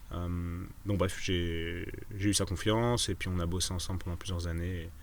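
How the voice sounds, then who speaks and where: A man with a very deep, low pitch talks at a moderate pace in audible room echo. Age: 30s. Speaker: osteopath and entrepreneur. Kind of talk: casual interview chat. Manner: hesitant, many fillers and repetitions.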